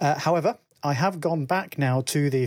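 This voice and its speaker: At a moderate pace, a man with a plain, everyday voice speaks with lively intonation. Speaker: listener sending voicemail. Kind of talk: voicemail.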